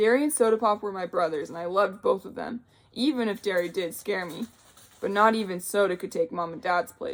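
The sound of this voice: Here is an unforced reading voice.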